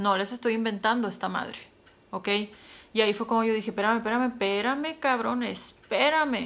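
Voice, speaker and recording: A woman's voice at a moderate pace, fairly high in pitch and varying in an ordinary way. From Mexico, Sonora. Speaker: YouTuber. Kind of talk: casual vlog monologue. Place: home room. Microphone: phone near.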